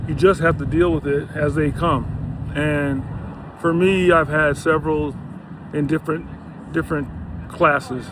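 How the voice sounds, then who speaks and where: A relaxed man with a fairly high pitch, fairly even intonation, a moderate pace and long, frequent pauses, over noticeable background noise. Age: 60s. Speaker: health and lifestyle vlogger. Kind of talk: casual vlog monologue. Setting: outdoors on a bike ride by the beach. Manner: relaxed, filler-heavy.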